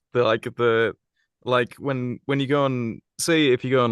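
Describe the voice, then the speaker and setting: Against a quiet background, a man with an English accent speaks at medium pitch and a moderate pace, with fairly even intonation, in a dry, close sound with no echo. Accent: posh English RP. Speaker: voice actor. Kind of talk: podcast interview.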